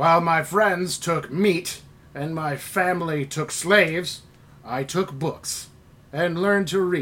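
Putting on a character voice, a man speaks high and at a fairly slow pace. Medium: actual play. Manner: earnest, proud.

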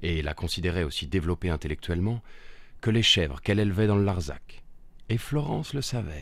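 Heard on a very clean recording with a silent background, a man delivers his lines in a theatrical tone, his very deep, low voice carrying lively intonation and vocal fry. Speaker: narrator. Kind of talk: dramatic storytelling narration of a short film, fairy-tale style. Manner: theatrical, measured, storyteller delivery with dark irony.

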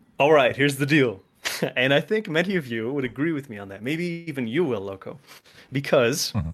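This man has an unremarkable speaking voice, fairly high-pitched, with lively intonation, big swings in loudness and a fairly quick pace. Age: 20s. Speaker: animator. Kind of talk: casual chat.

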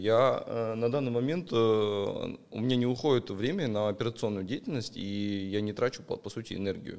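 At a moderate pace, a man speaks in an unremarkable speaking voice at a medium pitch with ordinary pitch variation. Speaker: investor and pawnshop owner. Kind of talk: casual chat.

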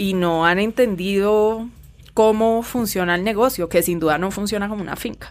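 A woman with an ordinary speaking voice talks at a medium pitch and a moderate pace, her intonation fairly even. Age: 30s. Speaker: writer and illustrator. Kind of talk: casual chat.

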